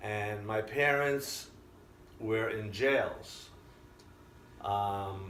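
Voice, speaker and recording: In an American accent, a man with a fairly low voice and ordinary pitch variation speaks very slowly with long, frequent pauses and audible room echo. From Israel. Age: 60s. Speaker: immigrant interviewee. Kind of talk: interview storytelling.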